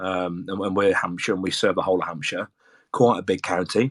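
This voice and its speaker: In a Brummie accent, a man talks at a fairly quick pace with a very deep, low voice. The recording is very clean, with a silent background. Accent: Birmingham (Brummie). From English Midlands, Birmingham. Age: 40s. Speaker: football supporters group organiser, military serviceman. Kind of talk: casual chat. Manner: hesitant, many fillers and repetitions.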